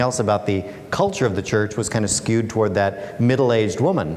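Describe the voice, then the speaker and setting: Noticeable noise runs behind a man who talks very fast in an American accent. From Alaska, USA. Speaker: author and speaker. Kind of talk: public talk.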